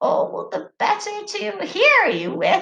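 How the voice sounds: A woman's croaky, put-on character voice at an extremely high pitch, with lively intonation and a very slow pace.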